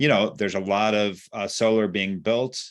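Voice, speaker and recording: With an unremarkable speaking voice, a man talks at a moderate pace and a fairly low pitch over a quiet background. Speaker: environmental policy director. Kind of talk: presentation on video call.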